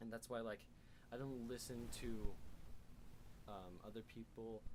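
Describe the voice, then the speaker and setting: Speaking with fairly even intonation, a man keeps to a moderate pace. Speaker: podcast co-host. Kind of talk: casual chat.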